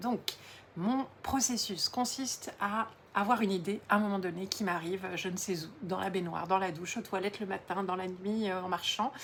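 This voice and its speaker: Talking at a moderate pace, a woman sounds somewhat breathy, with medium pitch and fairly even intonation. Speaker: entrepreneur and coach. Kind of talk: social media talk to camera.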